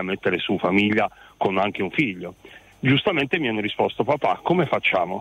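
A man speaks at a fairly quick pace, his pitch medium. He has a plain, everyday voice. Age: 50s. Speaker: radio caller, father. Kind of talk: radio phone-in call.

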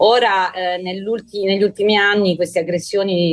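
A woman speaks. Her intonation is flat and monotone. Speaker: emergency doctor. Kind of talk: radio interview.

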